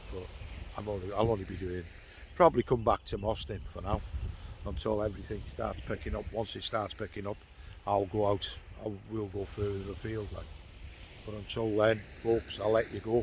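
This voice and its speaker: A man with a somewhat breathy, fairly low voice speaks at a fairly quick pace with fairly even intonation and long, frequent pauses. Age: 60s. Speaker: fishing vlogger. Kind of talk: casual vlog talk to camera. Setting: outdoors on a beach.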